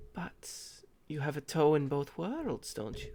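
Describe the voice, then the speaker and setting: A man does a breathy, put-on character voice. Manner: soft, wistful.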